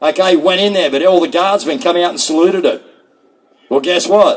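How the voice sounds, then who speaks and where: Loud and fairly quick, a man with an Australian accent talks at a high pitch. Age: 60s. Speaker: rally speaker. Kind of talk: rally speech.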